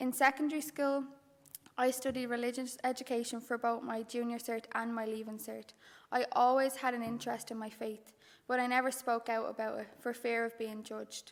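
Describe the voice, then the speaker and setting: Speaking with a Dublin accent, a woman uses a high pitch and a monotone, flat intonation. Her pace is fairly quick. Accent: Dublin Irish. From Ireland, Dublin. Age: 20s. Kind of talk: testimony.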